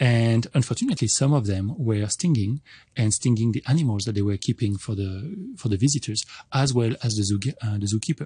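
Over a quiet background, a man with a dark, mellow, somewhat breathy tone speaks at a fairly quick pace with ordinary pitch variation. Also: medium pitch for a man, dry, close sound with no echo. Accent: French. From France. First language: French. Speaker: entomologist professor. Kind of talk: radio interview. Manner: halting.

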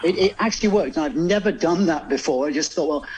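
A man with a southern English accent speaks against noticeable background noise. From England, Oxford. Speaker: bodywork and pain management therapist. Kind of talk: radio phone-in advice. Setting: remote studio link to radio show.

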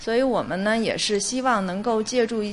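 A woman speaks at a moderate pace with ordinary pitch variation. Noticeable background noise can be heard. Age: 40s. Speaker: museum digital department deputy director. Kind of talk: interview. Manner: hesitant with fillers.

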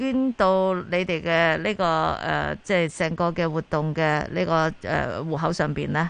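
This woman has a fairly low pitch with ordinary variation. It is a normal speaking voice. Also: fairly slow pace. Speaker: radio host. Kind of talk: radio talk show. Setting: studio.

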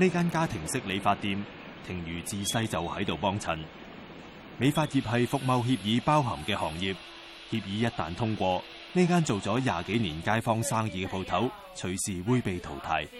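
A man with a fairly low voice speaks at a moderate pace, his pitch swinging very widely over noticeable background noise. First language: Cantonese (speaking Chinese). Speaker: news documentary narrator. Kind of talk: scripted narration.

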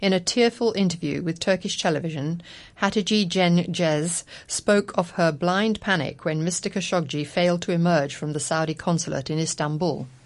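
A woman talks at a moderate pace in an ordinary speaking voice. Her pitch is fairly low with ordinary variation, and the background is quiet. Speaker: radio news presenter. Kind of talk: news reading. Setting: studio. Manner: formal.

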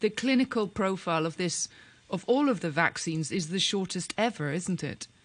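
A woman with a normal speaking voice, medium pitch and lively intonation at a moderate pace over a quiet background. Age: 50s. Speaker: radio talk show co-host. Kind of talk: radio interview.

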